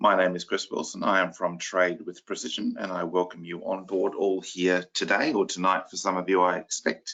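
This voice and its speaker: Using a put-on character voice, a man speaks in a croaky, very deep, low pitch at a moderate pace. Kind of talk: formal, presenter. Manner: welcoming, professional.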